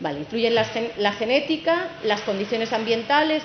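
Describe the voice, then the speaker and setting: Amid noticeable background noise and audible room echo, a woman with a fairly high pitch talks at a moderate pace with lively intonation. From Castilla-La Mancha, Spain. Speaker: wood science researcher, company director. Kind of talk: technical conference talk.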